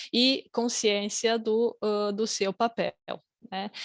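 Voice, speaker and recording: Over a quiet background, a woman speaks very slowly at a fairly high pitch with fairly even intonation, the sound dry and close with no echo. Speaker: academic researcher, conference panelist. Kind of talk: conference presentation. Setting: online conference, video call. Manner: hesitant, many fillers.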